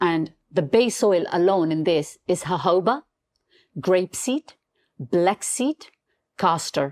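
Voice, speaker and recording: Lively in intonation, a woman with a non-native accent speaks at a fairly low pitch in a dry, close sound with no echo and a very clean recording with a silent background. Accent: non-native English, noticeable. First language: not English. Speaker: beauty brand founder. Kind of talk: podcast interview. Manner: halting.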